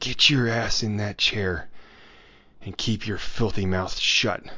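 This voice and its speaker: In a put-on character voice, a man sounds wheezy at a fairly low pitch. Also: fairly slow pace. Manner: sneering, hostile.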